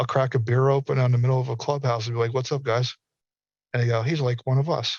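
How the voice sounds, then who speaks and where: A man's medium-pitched, somewhat breathy voice with a dry, close sound and no echo. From US South. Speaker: metaverse industry speaker. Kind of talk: panel discussion. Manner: animated.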